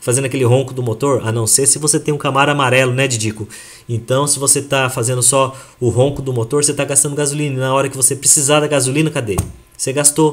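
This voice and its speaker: The speech comes very fast. There is some breathiness in the voice. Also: man, medium pitch for a man. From Brazil (Japanese-Brazilian). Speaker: health product presenter. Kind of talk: sales presentation to audience. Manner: animated.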